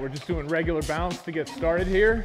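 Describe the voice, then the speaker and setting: A man speaks over clear music in the background. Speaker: fitness coach. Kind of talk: tutorial. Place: gym.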